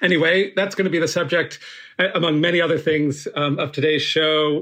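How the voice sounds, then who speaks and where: A man's fairly quick speech with fairly even intonation against a quiet background. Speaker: podcast guest host. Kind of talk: interview conversation. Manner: halting.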